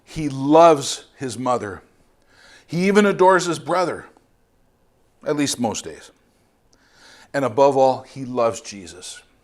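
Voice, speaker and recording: A man with a Canadian accent speaks at a fairly slow pace and a fairly high pitch, with lively intonation and big swings in loudness. Long, frequent pauses break up his speech, and the room adds audible echo. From Canada, Ontario. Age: 50s. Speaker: missionary preacher. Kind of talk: sermon.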